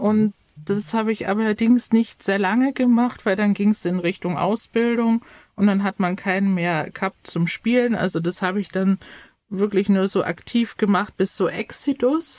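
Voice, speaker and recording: A woman's medium-pitched voice, a plain, everyday voice, with ordinary pitch variation and a dry, close sound free of echo on a very clean, silent recording. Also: moderate pace. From Bavaria, Chiemgau. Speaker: youth education counsellor and YouTuber. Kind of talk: casual chat.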